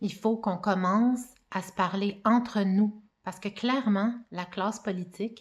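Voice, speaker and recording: A woman's somewhat breathy, medium-pitched voice at a very slow pace, with fairly even intonation, in a very clean recording against a silent background. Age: 40s. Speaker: mother giving personal testimony. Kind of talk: testimony.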